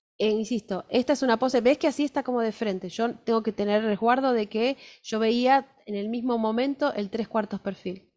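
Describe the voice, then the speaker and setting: A woman with an Argentine accent, fairly high-pitched, at a moderate pace with hardly any pauses and fairly even intonation, in a dry, close recording with no echo and a quiet background. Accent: Argentine Spanish (Rioplatense). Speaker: fashion illustration teacher. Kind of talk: workshop lecture with live drawing.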